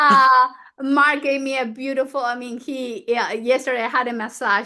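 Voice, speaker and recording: A woman projects a raised voice at a high pitch, her tone bright and sharp but her intonation monotone and flat. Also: moderate pace. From Argentina. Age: 60s. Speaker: yoga teacher. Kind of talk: casual chat. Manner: halting.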